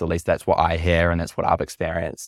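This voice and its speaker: The very deep, low voice of a man with a New Zealand accent comes through on a very clean recording with a silent background. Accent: Kiwi. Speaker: app co-founder. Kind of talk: casual interview.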